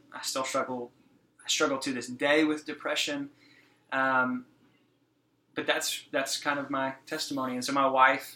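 A man with an American accent speaks at medium pitch with a bright, sharp tone and monotone, flat intonation. His pace is moderate, broken by long, frequent pauses. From Texas, Fort Worth area. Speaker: youth pastor. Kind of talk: casual chat.

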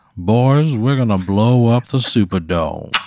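Putting on a character voice in a Southern US accent, the speaker drawls at a fairly slow pace with lively intonation. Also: man, medium pitch for a man.

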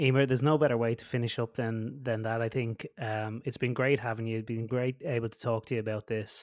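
With an Irish accent, a man speaks at a medium pitch in a flat monotone, fairly quickly and with hardly any pauses. The recording is very clean and silent, the sound dry and close with no echo. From West of Ireland. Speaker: podcast host and band director. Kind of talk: interview. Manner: halting, stumbling.

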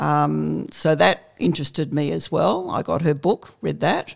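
The background is silent and the recording very clean. A woman speaks fairly slowly. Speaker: retired nurse. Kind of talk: interview.

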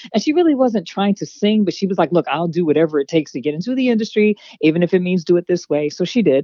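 A woman's fairly low voice racing at a very fast pace with hardly any pauses, lively intonation and an animated, playful tone. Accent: Pennsylvania. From Harrisburg, Pennsylvania. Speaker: actress and model. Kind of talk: casual interview chat.

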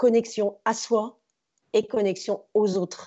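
A woman's fairly high voice at a very slow pace. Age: 40s. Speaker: former teacher turned stage performer and speaker. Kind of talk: casual interview.

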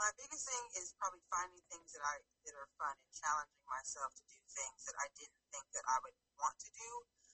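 A woman speaks at a fairly quick pace with an American accent, in a plain, everyday voice. Her pitch is medium and her intonation is lively. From California. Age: 30s. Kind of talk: casual interview chat.

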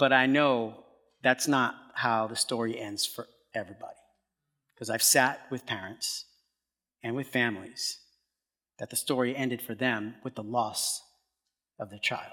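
A man's fairly slow, medium-pitched speech with an American accent, bright and sharp in tone, with long, frequent pauses, big swings in loudness and fairly even intonation. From US Northeast, Brooklyn, New York. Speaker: pastor. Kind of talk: sermon. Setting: stage with audience.

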